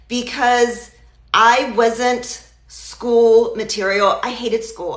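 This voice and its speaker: A woman speaks at a very slow pace, her pitch fairly high. Audible room echo and noticeable background noise surround her voice. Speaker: digital marketer and healthcare worker. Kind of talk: live stream talk. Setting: live social media video. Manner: stutters at times.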